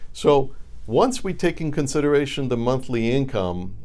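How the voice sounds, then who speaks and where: A man speaks with a dark, mellow tone, vocal fry and lively intonation. Audible room echo surrounds his voice. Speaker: reverse mortgage advisor. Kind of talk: educational monologue to camera.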